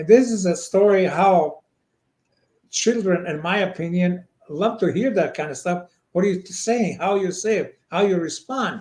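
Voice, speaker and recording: At a moderate pace, a man speaks high for his sex in a Montenegrin accent. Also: ordinary pitch variation. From Montenegro. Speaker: children's book author. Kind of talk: interview answer.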